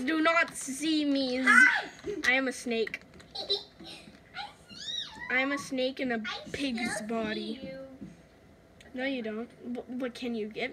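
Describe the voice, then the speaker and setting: A woman uses a put-on character voice at a high pitch, with clear background noise behind her. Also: fairly slow pace. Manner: annoying, taunting.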